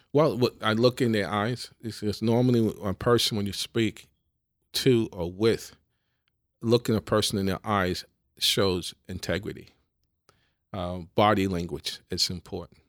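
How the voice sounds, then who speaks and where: A man's fairly low voice in a New York accent, fairly slow with long, frequent pauses and ordinary pitch variation, dry and close with no echo on a very clean recording with a silent background. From New York City (the Bronx). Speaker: business executive. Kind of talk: interview conversation. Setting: in person, across from the host.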